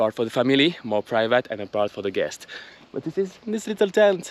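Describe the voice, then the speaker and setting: A man speaks at a fairly quick pace. His pitch sits at a medium level. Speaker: travel vlogger. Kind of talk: casual vlog talk to camera. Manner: quiet; animated.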